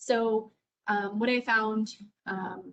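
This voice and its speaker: Somewhat breathy, the voice holds fairly even intonation. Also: woman. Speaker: teacher. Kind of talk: teacher training webinar.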